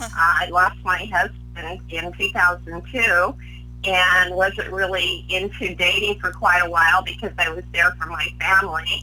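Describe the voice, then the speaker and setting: A woman talks fairly slowly while noticeable noise sounds in the background. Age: 70s. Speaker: psychic and life coach. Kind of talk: interview.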